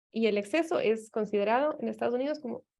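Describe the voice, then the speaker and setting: A woman with an Ecuadorian accent, fairly high in pitch, at a moderate pace, with a quiet background. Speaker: anthropologist, professor. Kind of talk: academic seminar talk. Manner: hesitant, many fillers.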